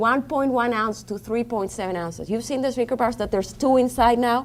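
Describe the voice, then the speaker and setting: Here a woman talks in a Colombian accent. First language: Spanish. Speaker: diabetes educator. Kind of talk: conference seminar talk. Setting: conference room with audience.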